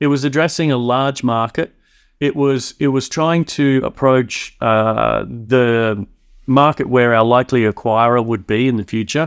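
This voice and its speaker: A man with an Australian accent speaks at a moderate pace and medium pitch. His pitch variation is ordinary, and the background is quiet. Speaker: tech company founder. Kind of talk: podcast interview.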